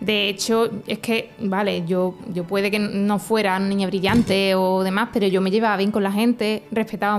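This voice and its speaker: With music in the background, a woman speaks at a medium pitch and a moderate pace in a monotone, flat intonation. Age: 20s. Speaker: teacher and anti-bullying advocate. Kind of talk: testimony.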